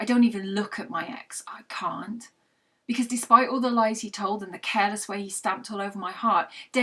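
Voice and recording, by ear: The background stays quiet. A person is reading aloud in a natural voice.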